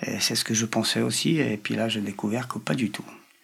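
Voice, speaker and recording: With a Polish accent and a medium pitch, a man talks at a fairly quick pace over noticeable background noise. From Poland. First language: Polish (speaking French). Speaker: interviewee who grew up with deaf parents. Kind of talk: interview. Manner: halting.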